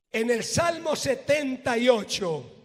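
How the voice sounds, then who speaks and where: The voice moves at a very slow pace. Pitch varies in an ordinary way, with audible room echo. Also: man. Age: 60s. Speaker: pastor. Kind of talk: sermon.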